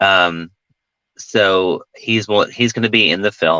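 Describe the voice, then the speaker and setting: With a Southern accent, a man speaks at a fairly slow pace in a very deep, low pitch. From US South. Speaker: film director and actor. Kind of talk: interview conversation.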